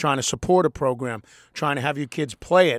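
A man with a normal speaking voice talks at a fairly quick pace, fairly high in pitch with ordinary variation. The sound is dry and close, with no echo. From Boston, Massachusetts. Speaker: TV sports reporter. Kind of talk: casual chat.

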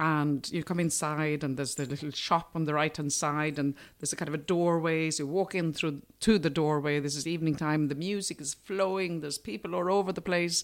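Her voice sits very deep and low, with fairly even intonation. The recording is very clean, with a silent background. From Sweden, near Nyköping. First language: Swedish. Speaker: food producer. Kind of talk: interview. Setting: studio.

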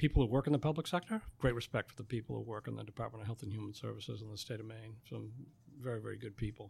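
Very fast and somewhat breathy, a man talks at a medium pitch. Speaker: printing company owner. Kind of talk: interview. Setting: studio.

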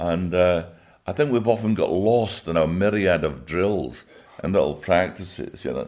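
With vocal fry, a man speaks at a moderate pace in a very deep, low pitch with ordinary pitch variation. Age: 80s+. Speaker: Olympic coach and author. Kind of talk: interview, reminiscing. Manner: warm, enthusiastic, storytelling.

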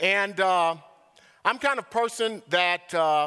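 A man speaks in a raised, projected voice with a bright, sharp tone and ordinary pitch variation. The recording is very clean, with a silent background. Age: 50s. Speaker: visiting preacher. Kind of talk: sermon. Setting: church.

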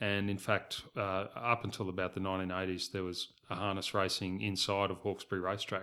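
A man with an Australian accent, a very deep, low pitch, a bright, sharp tone, flat monotone intonation and a fairly quick pace, on a very clean recording with a silent background. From Southeast Queensland, Australia. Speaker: race club chief executive. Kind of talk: interview. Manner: halting, many repeated words.

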